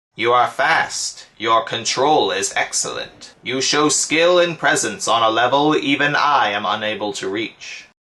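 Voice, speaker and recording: Putting on a character voice, a man talks in a fairly high pitch with lively intonation and hardly any pauses. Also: moderate pace. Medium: solo performance.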